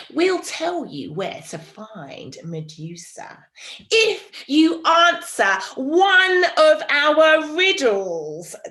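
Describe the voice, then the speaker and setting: A put-on, cackling character voice from a woman, high-pitched and very slow. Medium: read story. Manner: cackling, repetitive.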